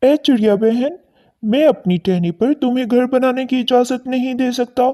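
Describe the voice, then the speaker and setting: A female-sounding cartoonish character voice at a fairly high pitch moves along at a moderate pace. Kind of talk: children's cartoon story. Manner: polite, calm.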